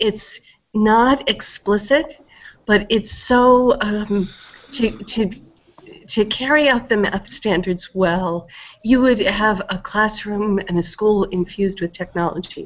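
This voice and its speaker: A woman speaks very slowly with ordinary pitch variation. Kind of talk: meeting self-introduction. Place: home room. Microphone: headset.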